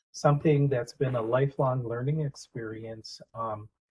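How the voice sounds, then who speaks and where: A man with an American accent speaks at a medium pitch, somewhat breathy, with fairly even intonation. His fairly slow delivery has a dry, close sound with no echo. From US Upper Midwest, Red Cliff reservation, northern Wisconsin. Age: 60s. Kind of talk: community talk, storytelling. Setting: library event with audience. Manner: halting, many filler words.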